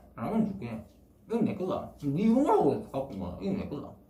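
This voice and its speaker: Someone speaks at a moderate pace in a Gyeongsang accent. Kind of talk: casual prank video talk.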